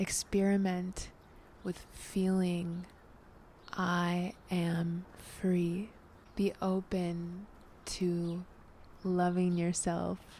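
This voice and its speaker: Soft-spoken and somewhat breathy, the voice has a dark, mellow, gentle tone and a monotone, flat intonation, moving at a very slow pace with long, frequent pauses. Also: woman, fairly low pitch for a woman. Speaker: tarot reader and ASMR vlogger. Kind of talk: ASMR tarot reading, soft-spoken personal reflection to camera. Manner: soft-spoken, gentle.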